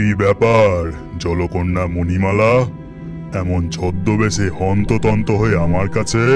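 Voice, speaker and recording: Against loud background music, a man puts on a cartoonish character voice pitched very deep and low, speaking at a fairly slow pace. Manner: solemn, dignified.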